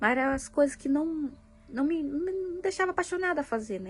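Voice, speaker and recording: High in pitch, a woman speaks at a fairly quick pace. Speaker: vlogger, mother. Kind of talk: personal vlog, venting. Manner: halting, many fillers.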